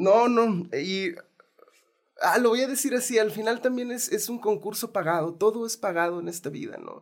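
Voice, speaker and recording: At a moderate pace, a man speaks at high pitch with ordinary pitch variation. His loudness swings widely. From Mexico. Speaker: film producer and documentary director. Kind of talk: interview. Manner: halting.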